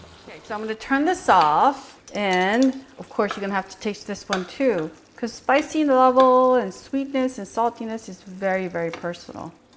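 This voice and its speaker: Speaking at a moderate pace with hardly any pauses, a woman uses an animated tone, lively intonation and a fairly high pitch. Her loudness swings widely, and background noise is noticeable. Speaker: cooking channel host. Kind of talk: tutorial.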